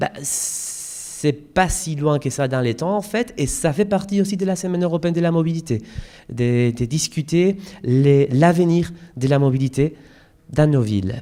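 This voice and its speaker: A man with a Spanish accent, fairly high pitch, dark, mellow tone, lively intonation and long, frequent pauses. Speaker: European campaign coordinator, conference speaker. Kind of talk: conference presentation. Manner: hesitant, many fillers.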